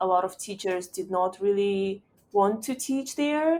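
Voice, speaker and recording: A woman of medium pitch talks in a Russian accent with lively intonation. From Uzbekistan, Tashkent. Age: 20s. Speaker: startup founder and CEO. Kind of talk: podcast interview.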